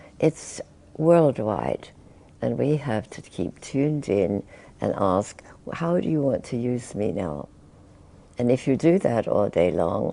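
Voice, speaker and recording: Very deep and low for a woman, her dark, mellow voice carries vocal fry and very wide pitch swings, moving at a fairly slow pace with long, frequent pauses. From England. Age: 80s+. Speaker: spiritual teacher. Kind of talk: interview answer.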